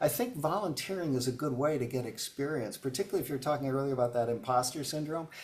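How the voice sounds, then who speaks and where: A man with an American accent talks very fast at a fairly high pitch, with ordinary pitch variation, hardly any pauses, and noticeable background noise. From upstate New York. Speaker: business coach. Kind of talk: webinar Q&A. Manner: halting, many fillers.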